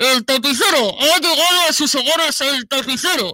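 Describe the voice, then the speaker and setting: Shouting in a put-on character voice, a woman goes high in pitch with lively intonation at a moderate pace. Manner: shouting, announcing.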